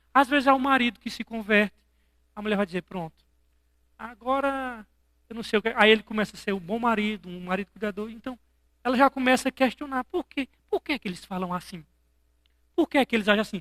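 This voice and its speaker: The speaker talks at a very fast pace with an animated tone, broken by long, frequent pauses. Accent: strong northeastern Brazilian. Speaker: pastor. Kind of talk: sermon.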